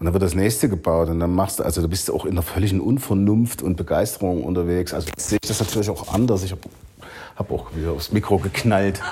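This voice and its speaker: At a very fast pace, a man talks in a very deep, low pitch with ordinary pitch variation. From eastern Germany (Saxony, Leipzig). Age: 40s. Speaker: restaurateur and business association president. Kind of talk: podcast interview.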